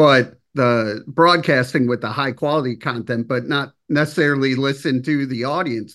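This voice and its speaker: A man with an unremarkable speaking voice talks at a fairly slow pace and medium pitch, with ordinary pitch variation over a quiet background. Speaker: interviewer. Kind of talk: casual interview.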